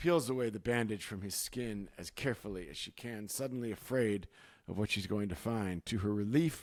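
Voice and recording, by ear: A natural voice reading aloud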